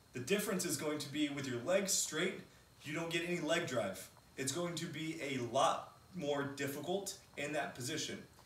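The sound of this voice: A man talks at a moderate pace with fairly high pitch, a fairly bright tone and ordinary pitch variation, in a room with strong echo.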